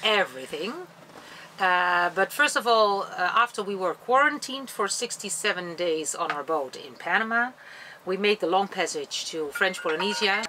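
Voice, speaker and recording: A woman with a bright, sharp tone talks at a moderate pace, her pitch swinging very widely over light background noise. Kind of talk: interview answer. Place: boat.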